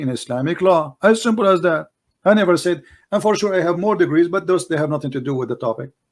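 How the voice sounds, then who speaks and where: In an Arabic accent, a man talks at a very fast pace with a fairly high pitch and lively intonation. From Middle East. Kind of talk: heated debate. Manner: animated.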